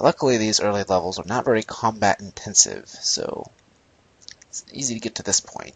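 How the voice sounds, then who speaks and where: A man's loudness swings widely as he talks at a fairly quick pace, with noticeable background noise behind him. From North America. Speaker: gaming YouTuber doing a playthrough. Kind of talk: let's play commentary. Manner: casual, conversational.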